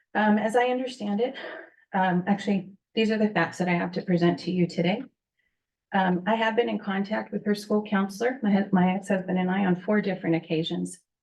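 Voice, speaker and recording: A shaky, somewhat breathy woman's voice at a medium pitch and a fairly quick pace. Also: fairly even intonation. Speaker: parent speaking at public comment. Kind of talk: public comment at board meeting. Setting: public board meeting.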